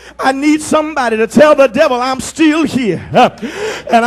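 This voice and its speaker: Through noticeable background noise, a man speaks at an extremely high pitch and fairly slow pace with ordinary pitch variation. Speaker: pastor. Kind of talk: sermon preaching, call-and-response with congregation. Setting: live church congregation. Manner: rhythmic, emphatic, punctuated with 'uh'.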